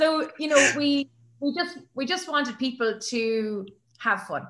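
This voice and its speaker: This woman talks with an Irish accent. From Ireland. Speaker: sports announcer. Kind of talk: interview answer.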